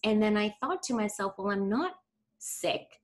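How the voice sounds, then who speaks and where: A woman's fairly high, plain, everyday voice with lively intonation, in a very clean recording with a silent background. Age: 40s. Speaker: holistic nutritionist and women's health coach. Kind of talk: casual chat.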